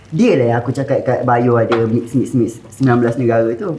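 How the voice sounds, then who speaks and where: Against light background noise, a man talks at a fairly slow pace. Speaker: YouTuber, cooking show host. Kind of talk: casual chat. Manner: animated. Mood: joking, playful. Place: kitchen.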